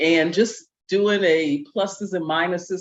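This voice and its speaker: Speaking at a very slow pace, a woman with an American accent uses a fairly low pitch and fairly even intonation. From US Midwest, Cincinnati. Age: 70s. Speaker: retired expat. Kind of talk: panel discussion.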